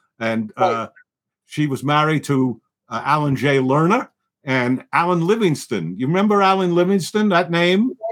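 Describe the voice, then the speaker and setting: A man with a New York accent speaks at a moderate pace, his fairly high voice carrying lively intonation. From New York, the Bronx. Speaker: film producer. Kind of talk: casual chat.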